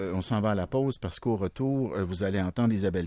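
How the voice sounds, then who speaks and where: Dry and close with no echo, an ordinary speaking voice comes from a man at a fairly low pitch with ordinary pitch variation over a quiet background. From rural Quebec, Berthier area. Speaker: radio host. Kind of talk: radio interview.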